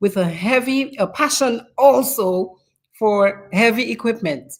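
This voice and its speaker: Speaking in a Dominican accent, a woman uses a fairly high pitch with lively intonation. Her pace is fairly slow. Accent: Dominican Caribbean. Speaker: talk show host. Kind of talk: interview introduction.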